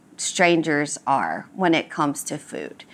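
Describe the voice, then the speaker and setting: The recording of this woman is very clean, with total silence behind her. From southern Louisiana, Cajun country near New Orleans. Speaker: cooking school owner and culinary host. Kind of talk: interview about food and local history. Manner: animated storytelling.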